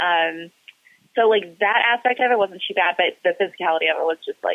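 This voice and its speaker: A woman talks at a fairly quick pace with ordinary pitch variation. She has a plain, everyday voice. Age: 20s. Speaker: professional wrestler. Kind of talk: interview.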